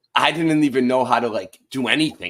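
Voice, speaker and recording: An animated male speaker with a Boston accent, on a very clean recording against a silent background. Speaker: online show host. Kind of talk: casual chat.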